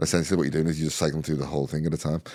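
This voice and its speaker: This man's very deep, low voice has a dark, mellow tone with vocal fry. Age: 30s. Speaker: content marketing consultant. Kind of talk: casual interview chat. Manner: animated.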